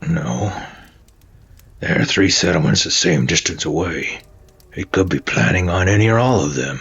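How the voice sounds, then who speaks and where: A man uses a put-on character voice, raspy and very deep, with very wide pitch swings. He keeps a moderate pace with long, frequent pauses. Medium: solo performance. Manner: hesitant, stammering.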